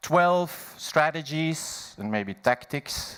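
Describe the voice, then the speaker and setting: A man is speaking. His pitch swings very widely. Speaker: management consultant at a conference. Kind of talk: conference keynote presentation. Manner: slow.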